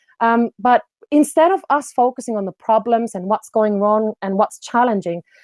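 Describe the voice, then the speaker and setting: A woman's dark, mellow voice with a Finnish accent, dry and close with no echo. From Finland. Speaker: business development coach. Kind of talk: online presentation.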